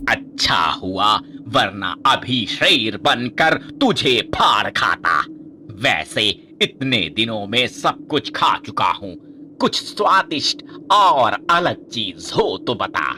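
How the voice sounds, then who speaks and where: A man puts on a cartoonish character voice at a fairly high pitch. He speaks very slowly over clear background noise. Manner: menacing, angry.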